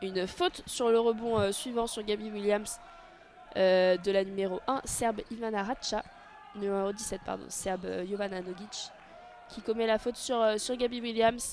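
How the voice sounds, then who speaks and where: A woman speaks with fairly even intonation at a fairly high pitch. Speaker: audio-description sports commentator. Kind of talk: live commentary. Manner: fast; hesitant, many fillers.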